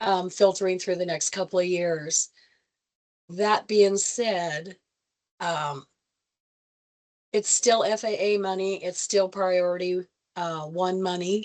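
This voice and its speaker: A woman speaks at medium pitch with fairly even intonation. Her pace is very slow, with long, frequent pauses. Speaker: state aviation staff presenter. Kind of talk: public meeting presentation. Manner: halting, many fillers.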